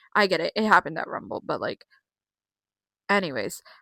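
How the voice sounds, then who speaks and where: Bright and sharp in tone, a woman speaks in an animated way at medium pitch with ordinary pitch variation. The sound is dry and close with no echo. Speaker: wrestling commentary vlogger. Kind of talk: casual solo vlog recap.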